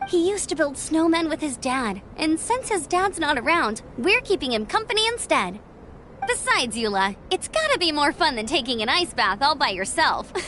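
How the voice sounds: A woman does a cartoonish character voice with a high pitch. Her tone is bright and sharp, with big pitch swings. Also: moderate pace.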